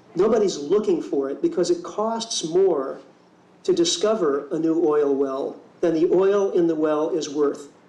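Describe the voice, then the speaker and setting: Against audible room echo, a man with a high pitch speaks at a fairly slow pace. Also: ordinary pitch variation. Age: 50s. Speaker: keynote speaker and ecology teacher. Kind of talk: keynote speech.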